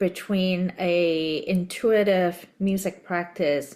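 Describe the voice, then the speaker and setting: In a Cantonese accent, a woman speaks very slowly on a very clean recording with a silent background. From Hong Kong. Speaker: podcast host. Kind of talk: interview conversation.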